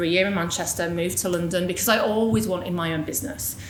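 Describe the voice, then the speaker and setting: Audible room echo and noticeable background noise accompany a woman as she speaks. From northern England, Yorkshire (near Hull). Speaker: business executive, guest speaker. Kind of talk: personal story talk at a panel event. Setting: live event with audience. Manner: casual, conversational.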